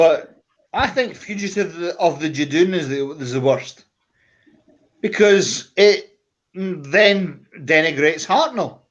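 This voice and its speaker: Speaking at a very slow pace, a man with a slight Scottish accent has a high pitch and lively intonation. His loudness swings widely. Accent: Scottish, mild. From Scotland, Glasgow. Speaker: comic con panelist. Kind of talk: casual panel chat.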